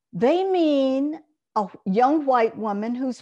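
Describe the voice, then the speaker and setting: A woman talks very slowly with an Alabama accent. Her voice is high in pitch and swings very widely. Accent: Southern US (Alabama). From US South, Monroeville, Alabama. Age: old. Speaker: journalist and columnist. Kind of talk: interview. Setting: video call.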